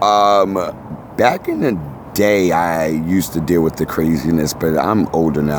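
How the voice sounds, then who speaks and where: With a New York accent, a man with a very deep, low pitch speaks in an animated tone with ordinary pitch variation amid noticeable background noise. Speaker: tattoo artist and reality TV cast member. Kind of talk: casual interview chat.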